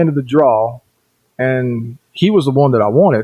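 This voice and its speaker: Using an ordinary speaking voice, a man with an American accent talks at a moderate pace, medium pitch and ordinary pitch variation. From US South, western North Carolina (Cherokee Reservation). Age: 40s. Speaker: podcast host, paranormal investigator. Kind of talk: podcast monologue, storytelling.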